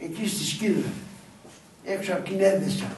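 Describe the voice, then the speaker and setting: A man with a Pontic Greek accent, high pitch and a fairly slow pace, amid audible room echo and noticeable background noise. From northern Greece, Pontic refugee family in Oraiokastro. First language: Pontic Greek (speaking Greek). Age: 80s+. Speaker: elderly local storyteller. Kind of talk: storytelling to schoolchildren.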